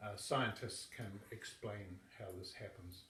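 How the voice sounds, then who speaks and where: Speaking very slowly with a New Zealand accent, a man is heard with audible room echo. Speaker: yoga teacher. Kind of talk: political endorsement talk.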